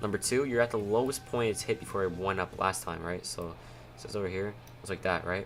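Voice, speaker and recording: A man's very deep, low voice at a fairly quick pace, with ordinary pitch variation and music in the background. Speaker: stock options trading streamer. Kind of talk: livestream trading tutorial. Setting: livestream. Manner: loud; casual, filler-heavy.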